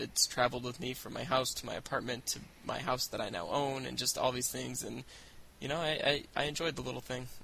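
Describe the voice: A man talks fast at a medium pitch. His tone is bright and sharp, with vocal fry.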